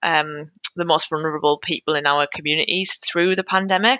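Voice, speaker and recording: A woman speaks with a Geordie accent. Her intonation stays fairly even. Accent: Geordie northeast English. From Newcastle, northeast England. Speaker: charity communications manager. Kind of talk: casual interview chat. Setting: video or phone call.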